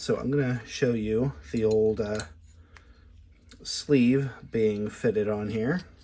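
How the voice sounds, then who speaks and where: With a dark, mellow tone and a medium pitch, a man speaks at a very slow pace, leaving long, frequent pauses, and his pitch varies in an ordinary way. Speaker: lockpicking tool maker and hobbyist. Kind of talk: casual product demo talk to camera. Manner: conversational, with hesitations and filler words.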